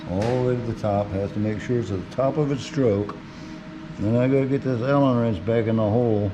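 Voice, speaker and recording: Music plays in the background as a man speaks in a relaxed tone. His voice is medium in pitch with fairly even intonation. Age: 70s. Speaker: woodworking hobbyist. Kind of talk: casual workshop demonstration. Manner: relaxed, unhurried.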